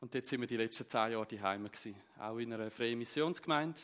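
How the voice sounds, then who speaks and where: With a Zurich accent, a man speaks at a moderate pace with ordinary pitch variation. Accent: Zurich Swiss German dialect. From Zurich Unterland, Switzerland. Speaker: preacher. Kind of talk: sermon.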